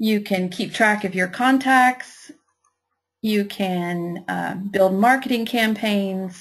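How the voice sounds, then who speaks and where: Somewhat breathy, a woman with a Kentucky accent speaks at a very slow pace with ordinary pitch variation. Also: medium pitch for a woman. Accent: Kentucky twang. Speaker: software trainer and virtual assistant. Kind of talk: webinar tutorial. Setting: online webinar.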